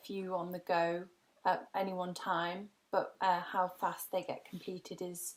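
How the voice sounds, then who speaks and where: In an English accent, a woman speaks with monotone, flat intonation on a very clean recording with a silent background. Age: 20s. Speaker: graphic designer. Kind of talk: career talk. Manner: hesitant, many ums.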